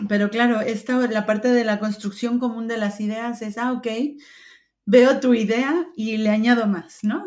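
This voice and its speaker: At a fairly slow pace, a woman with a fairly high, somewhat breathy voice speaks with fairly even intonation, recorded very cleanly over a silent background. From Mexico. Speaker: open innovation expert. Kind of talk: interview.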